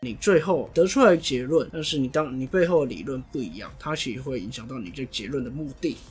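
A man with a fairly high, somewhat breathy voice talks at a fairly quick pace. His intonation is lively, and his loudness swings widely. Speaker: podcast host. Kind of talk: casual policy discussion.

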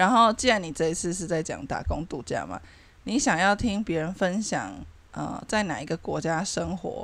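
This woman's voice is fairly low, with vocal fry. She talks at a moderate pace with lively intonation. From Taiwan. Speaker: podcast host. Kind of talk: casual chat.

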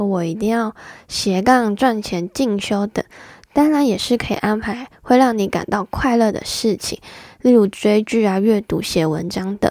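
An unremarkable speaking voice, a woman's, fairly high in pitch with ordinary pitch variation, at a fairly slow pace in a dry, close sound with no echo. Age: 20s. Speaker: solo podcaster, office worker. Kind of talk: scripted monologue.

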